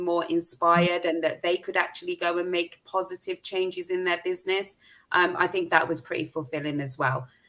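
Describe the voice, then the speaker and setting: Flat, monotone delivery from a woman with a British accent, fairly low in pitch, at a moderate pace. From UK. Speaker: social media marketing expert. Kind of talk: interview chat.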